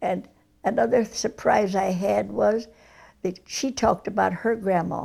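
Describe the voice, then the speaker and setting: A woman with an American accent, vocal fry and a dark, mellow tone at a fairly slow pace. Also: medium pitch for a woman, ordinary pitch variation. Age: 80s+. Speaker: centenarian interviewee. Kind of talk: oral history interview.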